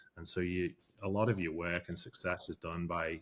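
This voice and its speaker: A man with a British accent speaks in a very deep, low pitch and a flat monotone, on a very clean recording with a silent background. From England/UK. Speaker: forensic investigator. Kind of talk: interview. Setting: studio. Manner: hesitant, many fillers.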